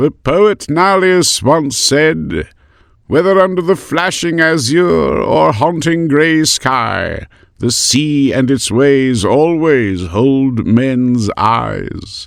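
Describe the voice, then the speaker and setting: This put-on character voice is resonant, with lively intonation. It moves at a very slow pace with very even loudness. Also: man, fairly high pitch for a man. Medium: read story. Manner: grave, serious, authoritative.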